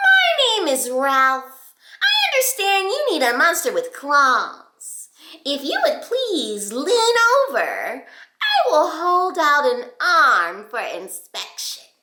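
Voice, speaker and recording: A woman adopts a put-on character voice, pitched extremely high, swinging very widely in pitch and crawling along at a very slow pace. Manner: polite, smooth.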